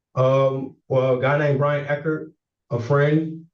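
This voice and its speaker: A man's speech carries audible room echo. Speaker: defendant. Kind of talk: court hearing testimony. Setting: courtroom. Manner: halting, repeats words.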